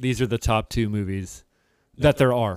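Very clean with a silent background, the recording has a dry, close sound with no echo. A man with a Midwestern American accent speaks at a moderate pace and medium pitch, with ordinary pitch variation. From Cincinnati, Ohio (US Midwest). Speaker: podcast co-host, English professor. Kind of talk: casual chat.

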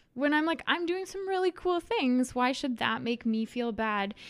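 The speaker has a Canadian accent and lively intonation. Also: woman. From Saskatchewan, rural grain farm near Leslie. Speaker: travel content creator. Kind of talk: interview.

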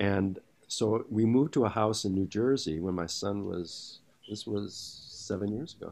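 Delivered at a moderate speed, a normal speaking voice shows ordinary pitch variation. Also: man. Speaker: actor. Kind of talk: casual chat. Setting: video call.

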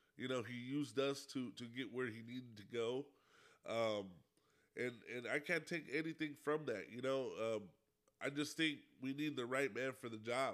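Speaking at a moderate pace with long, frequent pauses, a man with an American accent keeps a fairly even intonation at a medium pitch on a very clean recording with a silent background. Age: 30s. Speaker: podcast host. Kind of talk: casual monologue. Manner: halting, many fillers.

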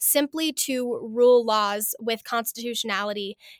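With an American accent, a woman speaks at a moderate pace in a high pitch with ordinary pitch variation, recorded very cleanly against a silent background with a dry, close sound and no echo. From Montana, US. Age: young. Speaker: political candidate. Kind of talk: interview.

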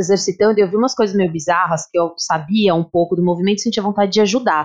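The sound is dry and close, with no echo. A woman speaks very fast. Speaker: physical education teacher. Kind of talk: casual chat. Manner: animated.

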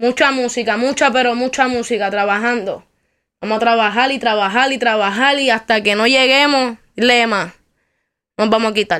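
At a moderate pace, the voice carries a bright, sharp tone and fairly even intonation in a very clean recording with a silent background. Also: woman, fairly high pitch for a woman. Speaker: rapper. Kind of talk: interview.

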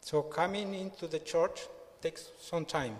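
A man speaks with a Colombian accent. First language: Spanish. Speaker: church member. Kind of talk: testimony. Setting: church.

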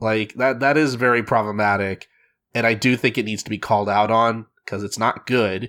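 With fairly even intonation, a man at medium pitch keeps a moderate pace on a very clean recording with a silent background. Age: 20s. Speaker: podcast host. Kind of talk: casual chat. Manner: halting, many fillers and repeats.

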